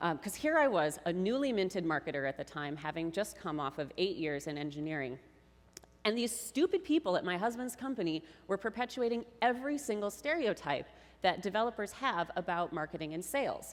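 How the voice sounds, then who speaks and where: Speaking at a fairly quick pace, a woman with an American accent uses medium pitch and very wide pitch swings. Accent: Minnesota accent, usually kept in check. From Minnesota (Mankato). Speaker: tech marketer, conference speaker. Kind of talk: conference talk. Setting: stage with audience. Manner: casual, animated.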